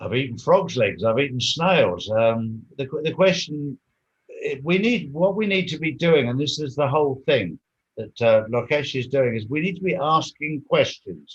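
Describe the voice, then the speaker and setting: Lively intonation marks a somewhat breathy voice. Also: man, fairly high pitch for a man, moderate pace. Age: 60s. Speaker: interview guest, activist. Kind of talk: interview.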